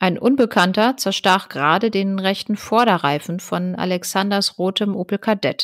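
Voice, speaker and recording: A woman with a plain, everyday voice at medium pitch, speaking at a fairly slow pace, in a dry, close sound with no echo on a very clean recording with a silent background. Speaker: podcast co-host. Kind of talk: true-crime narration. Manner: even, measured storytelling pace; serious, matter-of-fact.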